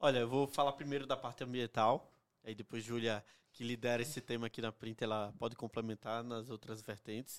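In a dry, close sound with no echo, a man with a northeastern Brazilian accent talks at a fairly quick pace with medium pitch and fairly even intonation. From Northeast Brazil. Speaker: company executive. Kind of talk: casual interview.

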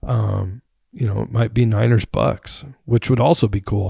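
A man talks at a moderate pace with a fairly low pitch and some vocal fry. His pitch varies in an ordinary way, and the background is quiet. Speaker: sports podcast host. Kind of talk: casual solo commentary.

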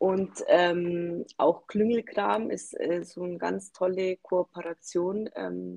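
A woman's dark, mellow voice at medium pitch, very slow pace, dry and close with no echo. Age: 40s. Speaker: small business founder. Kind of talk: podcast interview.

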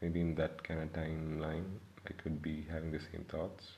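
A man speaks with a very deep, low pitch and a somewhat breathy quality. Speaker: podcast host. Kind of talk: solo monologue. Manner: monotone.

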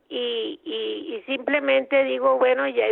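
With a Costa Rican accent, a woman speaks very slowly at a fairly high pitch. Her pitch swings very widely. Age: old. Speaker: retired teacher. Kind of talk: phone interview. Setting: phone call. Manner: halting.

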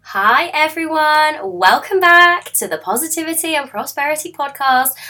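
A woman with a high, bright, sharp voice speaks at a moderate pace in a raised, projected voice. Her intonation is lively and her tone enthusiastic. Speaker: podcast host. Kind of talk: podcast intro.

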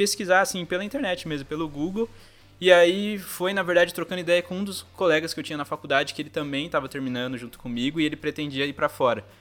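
Speaking very fast, a man with a high pitch shows ordinary pitch variation and big swings in loudness. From Brazil, São José dos Campos (São Paulo state). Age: 20s. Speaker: graphic designer, former exchange student. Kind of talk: casual interview.

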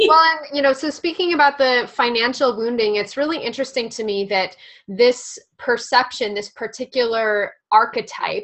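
A woman speaks with an unremarkable speaking voice. Her pitch is fairly high, and her intonation is lively. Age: 20s. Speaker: podcast co-host and spiritual healer. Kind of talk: casual chat.

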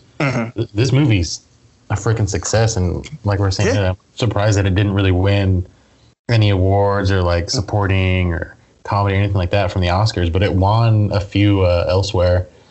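Somewhat breathy and fairly low-pitched, a man talks at a fairly quick pace with fairly even intonation and very even loudness. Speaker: podcast host. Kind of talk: casual movie review chat.

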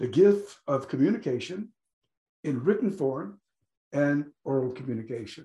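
A man's dark, mellow voice is somewhat breathy and swings very widely in pitch. He leaves long, frequent pauses. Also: fairly high pitch for a man, moderate pace. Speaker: podcast host. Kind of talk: interview.

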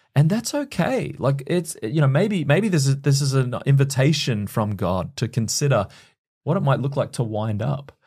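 The voice has a dark, mellow tone, somewhat breathy, with lively intonation and an Australian accent. The pace is moderate, and the recording is very clean with a silent background. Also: man, fairly high pitch for a man. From Queensland, Australia. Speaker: church leader. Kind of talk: podcast interview.

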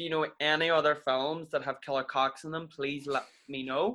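This man has a fairly high pitch with ordinary pitch variation. He keeps a moderate pace. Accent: Irish. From Ireland. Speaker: podcast co-host. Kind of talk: casual chat, comedic banter.

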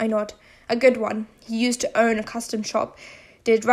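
The voice heard is a natural reading voice.

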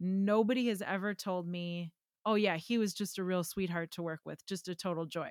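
A plain, everyday voice from a woman with an American accent, medium pitch, fairly even intonation and moderate pace, in a dry, close sound with no echo. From Wisconsin, US Midwest. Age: 30s. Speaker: pedal builder, guitar pedal company guest. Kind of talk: casual chat.

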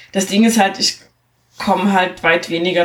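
With ordinary pitch variation and a moderate pace, it is an ordinary speaking voice. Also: woman. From East Germany. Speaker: podcast host. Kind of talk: casual chat. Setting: studio.

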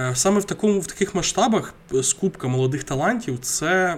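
A man's voice moves at a moderate pace, its pitch varying in an ordinary way. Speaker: football podcast co-host. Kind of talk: casual chat.

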